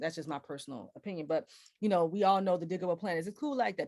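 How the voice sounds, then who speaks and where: In an American accent, a woman speaks with an animated tone. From US Midwest, Cleveland, Ohio. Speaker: jazz vocalist and presenter. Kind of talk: lecture. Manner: fast.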